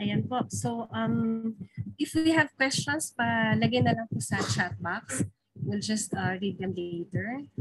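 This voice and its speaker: In a dry recording with no echo, a woman speaks at a fairly slow pace with very wide pitch swings. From Philippines. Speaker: webinar emcee. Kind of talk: event emceeing. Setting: video call. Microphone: video call.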